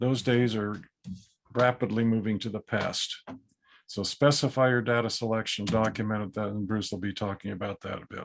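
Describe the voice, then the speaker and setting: Using a normal speaking voice with fairly even intonation, a man speaks at a fairly low pitch and a moderate pace. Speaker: appraisal educator. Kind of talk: webinar lecture. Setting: video call.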